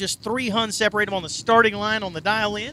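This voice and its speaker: A man with a slight Southern accent speaks in a raised, projected voice, high-pitched with a bright, sharp tone. His pace is fairly quick, and the sound is dry and close with no echo. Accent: slight southern twang. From southern Indiana. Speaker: drag racing announcer. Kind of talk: live commentary. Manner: animated.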